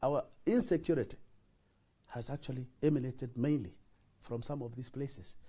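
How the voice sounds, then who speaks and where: A man's somewhat breathy voice, dark and mellow in tone, moves with lively intonation. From northeastern Kenya, Wajir; northeastern Kenya. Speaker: senator. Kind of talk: TV interview. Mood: earnest, explanatory. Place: studio. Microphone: lapel.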